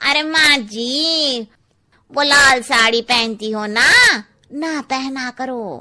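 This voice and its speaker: A woman uses a cartoonish character voice pitched high. She speaks at a very slow pace. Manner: blunt, cheeky.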